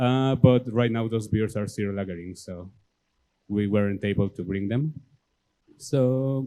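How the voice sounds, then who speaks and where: In a Mexican accent, the speaker goes at a fairly slow pace with a dark, mellow tone. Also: man. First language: Spanish. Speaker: homebrew club president. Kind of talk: presentation. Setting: club meeting with audience.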